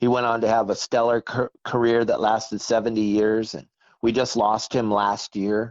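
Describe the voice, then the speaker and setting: Flat, monotone intonation in a medium-pitched male voice. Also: moderate pace. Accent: American. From Southern California. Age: 60s. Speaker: fishing guide and boat captain. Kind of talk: podcast interview.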